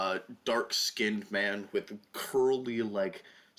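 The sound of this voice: This is an unforced reading voice. It is heard in the clip.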